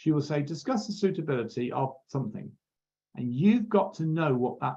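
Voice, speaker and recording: Speaking at a moderate pace, a man uses a fairly high pitch with very wide swings, his tone dark and mellow and somewhat breathy. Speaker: accounting exam tutor. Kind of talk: lecture.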